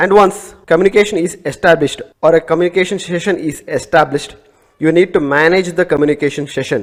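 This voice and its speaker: A man with an Indian accent talks at a very fast pace, his high voice showing ordinary pitch variation. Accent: Indian English (Telugu). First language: Telugu. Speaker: networking instructor. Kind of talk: lecture.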